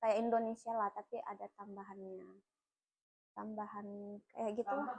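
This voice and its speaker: At a moderate pace, a woman talks in an ordinary speaking voice with fairly even intonation and big swings in loudness. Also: fairly high pitch for a woman. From South Sulawesi, Enrekang (Bugis). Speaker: teacher. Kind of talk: casual interview chat.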